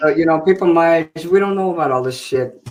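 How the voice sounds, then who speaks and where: Speaking in an ordinary speaking voice, a man with a fairly high pitch keeps a moderate pace and ordinary pitch variation. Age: 50s. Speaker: live stream guest. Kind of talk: casual chat.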